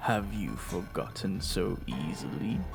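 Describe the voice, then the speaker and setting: A put-on character voice from a man, very deep and low in pitch, at a fairly slow pace over loud background noise. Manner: overly edgy, dramatic.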